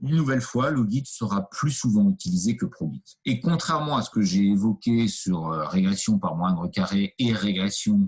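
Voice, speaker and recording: Using lively intonation, a man speaks at a very slow pace in a fairly low pitch. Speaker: university lecturer. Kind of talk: lecture. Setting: video call. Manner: hesitant, many fillers.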